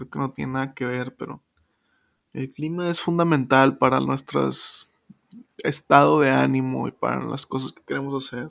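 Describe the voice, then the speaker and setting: With a Mexican accent, a man talks at a fairly slow pace. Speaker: podcast host. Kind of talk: casual monologue. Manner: casual, slangy.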